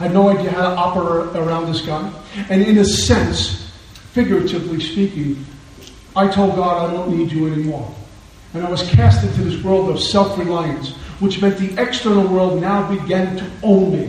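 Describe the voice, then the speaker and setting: A man with an American accent speaks at a moderate pace in a high voice with fairly even intonation, over noticeable background noise and audible room echo. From Brooklyn, New York. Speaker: recovery speaker. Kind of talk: recovery talk.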